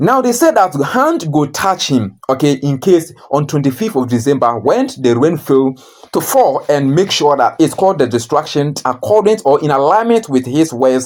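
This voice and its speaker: The speaker keeps a moderate pace while noticeable noise runs in the background. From Ghana. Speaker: news commentator YouTuber. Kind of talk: casual news commentary.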